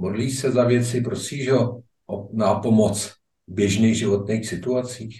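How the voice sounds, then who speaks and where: A man speaks at a fairly slow pace, his pitch medium and his intonation fairly even. His tone is dark and mellow, somewhat breathy. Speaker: magazine podcast host. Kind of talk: interview; scripted intro. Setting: remote link from Prague.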